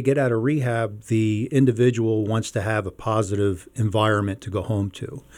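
A man with an ordinary speaking voice, medium pitch and ordinary pitch variation, on a very clean recording with a silent background. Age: 50s. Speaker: reentry case manager, former corrections officer. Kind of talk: interview.

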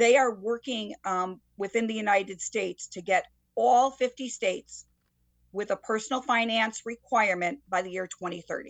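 A woman with an ordinary speaking voice, fairly high in pitch, at a moderate pace and with ordinary pitch variation. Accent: American. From Connecticut, Waterbury. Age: 60s. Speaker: high school teacher. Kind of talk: interview. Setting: video call.

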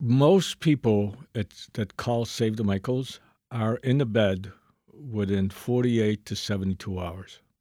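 A man speaks fairly slowly in a medium pitch with a dark, mellow tone and ordinary pitch variation. The recording is very clean with a silent background, and the sound is dry and close with no echo. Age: 70s. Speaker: nonprofit founder and addiction advocate. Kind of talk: interview. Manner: blunt.

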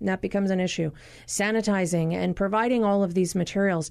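With a quiet background behind her, a woman speaks at a fairly quick pace and medium pitch in a dark, mellow tone. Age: 40s. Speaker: physician and radio health show host. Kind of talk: call-in radio interview. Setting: studio.

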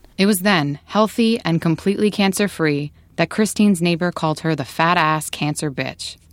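Recorded very cleanly against a silent background, a woman with an ordinary speaking voice and a fairly low pitch talks at a moderate pace with ordinary pitch variation and hardly any pauses. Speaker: radio reporter. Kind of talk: scripted radio narration.

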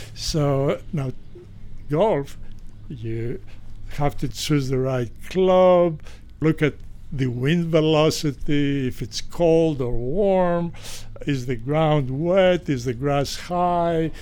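At a very slow pace with long, frequent pauses, a man speaks at a fairly high pitch with a dark, mellow tone and ordinary pitch variation. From Greece. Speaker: retired physician, golfer. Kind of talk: interview testimony. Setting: outdoors on golf course. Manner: hesitant with fillers.

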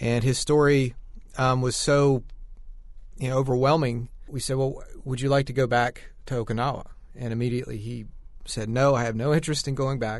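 Moving at a fairly quick pace yet with long, frequent pauses, a man speaks with monotone, flat intonation. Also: medium pitch for a man. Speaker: filmmaker. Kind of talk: interview. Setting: studio.

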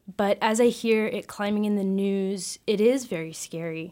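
A plain, everyday voice from a woman with an American accent, medium in pitch with ordinary pitch variation, on a very clean recording with a silent background. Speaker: college student. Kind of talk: panel discussion.

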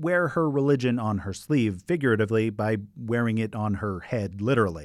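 Here a man with an American accent uses a plain, everyday voice at a medium pitch and moderate pace with lively intonation. The recording is very clean, with a silent background. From Idaho (Boise). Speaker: podcast host, journalist. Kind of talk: documentary narration with interview.

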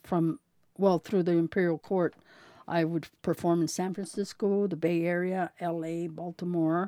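In a dry, close sound with no echo, a woman speaks fairly slowly at a fairly low pitch, her tone dark and mellow and her intonation monotone and flat. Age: 70s. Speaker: retired male impersonator. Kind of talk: oral history interview. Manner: halting.

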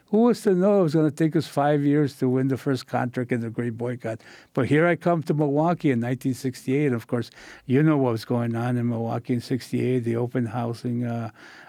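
A man with a dark, mellow tone and medium pitch speaks fairly quickly. His pitch varies in an ordinary way against a quiet background. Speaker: labor leader and author. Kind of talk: interview. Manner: halting.

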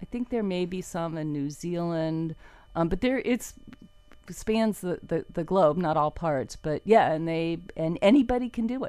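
Speaking fairly slowly with an American accent, a woman with a fairly low voice and a dark, mellow tone uses lively intonation over a quiet background. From South Florida, US. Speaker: environmental reporter. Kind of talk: casual interview.

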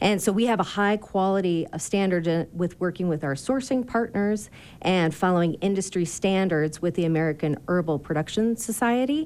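Against a quiet background, a woman with an unremarkable speaking voice speaks at a moderate pace in a medium pitch, with lively intonation, hardly any pauses and very even loudness. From Michigan. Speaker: distillery co-owner. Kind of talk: radio interview. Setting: studio.

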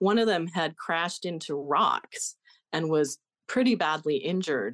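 A woman's fairly low voice with an American accent, an unremarkable speaking voice, ordinary pitch variation, and a moderate pace, in a dry, close sound with no echo and a quiet background. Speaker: author and former wilderness guide. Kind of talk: interview.

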